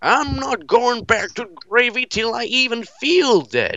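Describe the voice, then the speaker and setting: At an extremely high pitch, a man does a put-on character voice. His pace is fairly slow. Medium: game stream. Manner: boastful.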